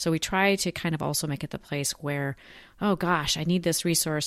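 A woman at a fairly quick pace with ordinary pitch variation, against a quiet background. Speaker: podcast co-host. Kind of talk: casual podcast chat. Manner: casual, upbeat.

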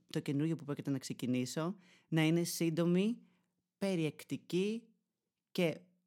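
In a very clean recording with a silent background, a man with a high pitch talks in an animated tone with ordinary pitch variation. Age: 20s. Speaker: podcaster and YouTuber. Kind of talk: solo monologue podcast.

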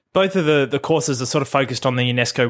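A man talks at a very fast pace in a very clean recording with a silent background. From Australia, Melbourne area. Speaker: podcast host. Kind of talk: solo podcast monologue. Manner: casual with frequent fillers and repetitions.

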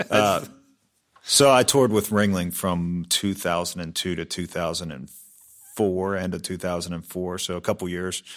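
The speaker has an American accent and a moderate pace, with big swings in loudness. The recording is very clean, with a silent background. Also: man, very deep, low pitch for a man. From Pittsburgh, Pennsylvania. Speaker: drum shop owner and musician. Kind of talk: interview. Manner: halting, many fillers.

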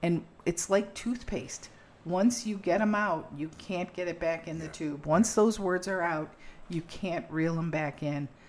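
A woman's normal speaking voice, fairly low in pitch, at a fairly slow pace with ordinary pitch variation. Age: 60s. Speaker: podcast host. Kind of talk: casual conversational podcast.

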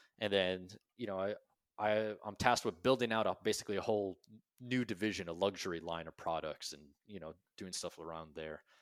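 In a very clean recording with a silent background, a man with a fairly low pitch and an unremarkable speaking voice talks at a fairly quick pace, with ordinary pitch variation and big swings in loudness. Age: 30s. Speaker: army veteran and business founder. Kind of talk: interview storytelling.

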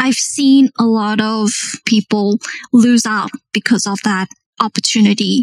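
A woman talks in a somewhat breathy voice at a fairly high pitch. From South Africa. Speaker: project manager. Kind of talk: interview.

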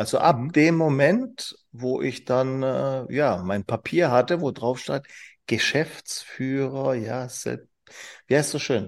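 A man speaks very slowly at a medium pitch with ordinary pitch variation. The recording is very clean, the background silent. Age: 40s. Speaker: business trainer and managing director. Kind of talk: casual interview. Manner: animated.

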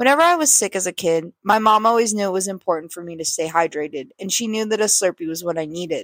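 A woman with a plain, everyday voice and an American accent speaks at a fairly quick pace, with medium pitch and ordinary pitch variation. The recording is very clean with a silent background and a dry, close sound with no echo. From California. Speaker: listener contributor. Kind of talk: reading a written story aloud.

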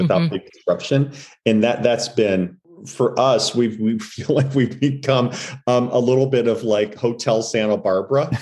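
A man's normal speaking voice with an American accent, at a moderate pace and medium pitch, with ordinary pitch variation and very even loudness. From Missouri, US Midwest. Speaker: retail executive. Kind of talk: casual chat.

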